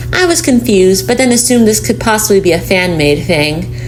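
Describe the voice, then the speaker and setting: Music in the background under a woman's voice at a moderate pace. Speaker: voice actor. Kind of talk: horror story reading.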